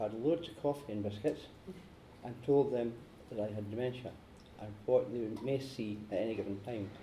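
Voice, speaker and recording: Over noticeable background noise, a man with a Scottish accent speaks at a fairly quick pace. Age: 60s. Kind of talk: prepared speech.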